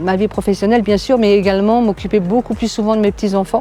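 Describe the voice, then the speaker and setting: Music plays in the background. Over it, a woman talks at a medium pitch with fairly even intonation. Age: 60s. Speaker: real estate agent. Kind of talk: testimony. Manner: hesitant, many fillers.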